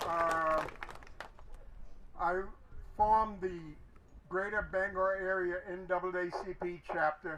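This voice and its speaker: Noticeable background noise surrounds a man speaking at a very slow pace with long, frequent pauses. His high voice stays monotone, with flat intonation. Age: 80s+. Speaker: civil rights activist. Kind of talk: rally speech. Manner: halting.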